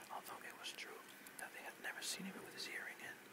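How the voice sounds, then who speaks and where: A man whispers in a soothing tone over noticeable background noise. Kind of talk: whispered audiobook-style reading of a novel chapter, relaxation. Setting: rain and thunder background sounds. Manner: whispered, soothing; makes occasional reading mistakes.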